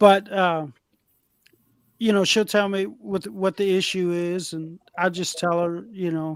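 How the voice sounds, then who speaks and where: A loud man with a high pitch, a very slow pace and fairly even intonation. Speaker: electrician and former manager. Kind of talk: casual chat.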